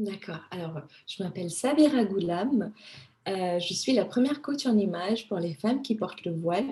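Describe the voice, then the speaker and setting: A woman speaks at a moderate pace and medium pitch in an unremarkable speaking voice. Her intonation is lively. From Madagascar, moved to France at 15. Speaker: image consultant. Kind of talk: interview.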